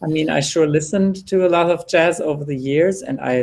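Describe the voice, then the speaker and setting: This man has a fairly high pitch and fairly even intonation, speaking at a moderate pace with a German accent. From Germany. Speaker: jazz singer. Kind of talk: panel discussion.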